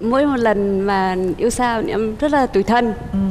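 A woman's fairly high voice with ordinary pitch variation, over light background noise. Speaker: game show contestant. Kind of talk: TV talk show interview. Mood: warm, smiling, slightly shy. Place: studio. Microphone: lapel.

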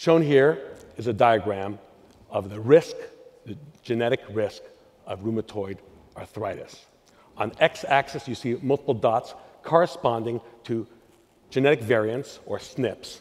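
The speaker goes at a fairly slow pace, leaving long, frequent pauses. Loudness swings widely while the pitch varies in an ordinary way. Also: man. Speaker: presenter. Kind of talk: conference talk. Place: stage. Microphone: headset.

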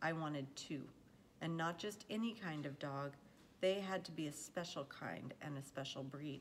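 Speech at a moderate pace is heard over light background noise. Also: woman. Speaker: reader of a children's novel. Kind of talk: read-aloud storytelling. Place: home room. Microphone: phone near.

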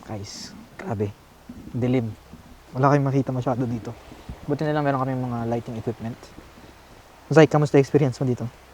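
Despite long, frequent pauses, a man talks at a very fast pace with fairly even intonation against noticeable background noise. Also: medium pitch for a man. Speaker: video host, paranormal explorer. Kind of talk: casual vlog, Taglish. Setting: outdoors at night at a bridge.

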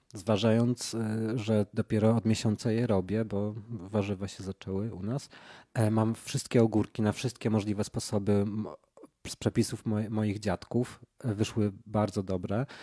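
A man speaks with a fairly low pitch and a dark, mellow tone. His delivery is fairly slow and monotone, with flat intonation. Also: quiet background. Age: 30s. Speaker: painter. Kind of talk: casual chat. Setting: sitting on a rug at the host's home in Warsaw. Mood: relaxed, smiling. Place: home room.

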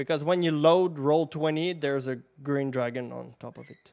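Vocal fry over a slightly mellow tone, with little pitch movement, at a moderate pace. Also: man, fairly high pitch for a man.

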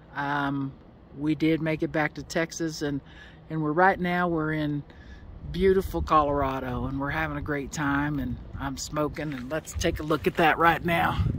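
A woman at a moderate pace with fairly even intonation, in a dry sound with no echo and light background noise. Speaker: vlogger. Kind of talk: casual vlog chat. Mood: relaxed, slightly apologetic. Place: open country. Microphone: phone near.

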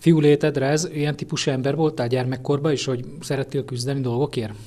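Speaking at a fairly quick pace, a man with a fairly high pitch and a dark, mellow tone keeps a monotone, flat intonation. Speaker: interviewer, local media. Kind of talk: interview questions.

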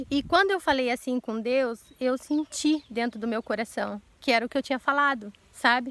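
Speaking at a moderate pace, a woman with a high pitch shows ordinary pitch variation in a dry recording with no echo. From Brazil. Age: 40s. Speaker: YouTuber. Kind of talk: casual Q&A vlog; casual vlog chat. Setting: outdoors. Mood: earnest, emotional, sometimes indignant. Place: garden. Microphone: phone near.

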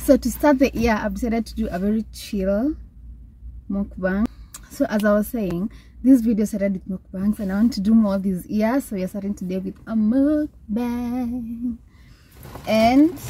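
A woman speaks at a moderate pace in a somewhat breathy, dark, mellow voice. Her pitch varies in an ordinary way, and the sound is dry with no echo. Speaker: vlogger. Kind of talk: casual vlog chat. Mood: cheerful, relaxed. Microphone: phone near.

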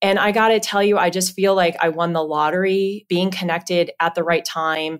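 With a normal speaking voice and an American accent, a woman of fairly low pitch talks at a moderate pace with fairly even intonation, on a very clean recording with a silent background. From Southern California. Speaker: payments executive at a bank. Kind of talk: interview.

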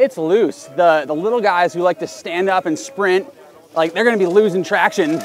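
Amid noticeable background noise, a man speaks in a high pitch with ordinary pitch variation. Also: dry sound with no echo. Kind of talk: commentary. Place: open country.

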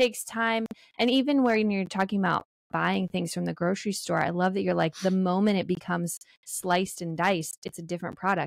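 Her pitch sits in the middle range and varies in an ordinary way. The woman talks at a fairly quick pace in a warm, enthusiastic tone. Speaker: podcast host. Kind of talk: casual podcast interview.

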